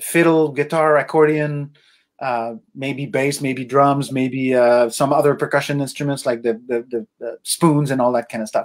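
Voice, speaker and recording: A man in a Quebec French accent, fairly high-pitched, with fairly even intonation at a fairly slow pace. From Quebec, Laurentian Mountains. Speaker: musician and arts foundation founder. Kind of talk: interview.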